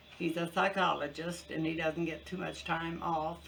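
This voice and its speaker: A woman speaks at a moderate pace with a fairly low pitch. Noticeable background noise is present. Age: 70s. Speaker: cooking channel host. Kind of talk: casual vlog update. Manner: halting, many fillers.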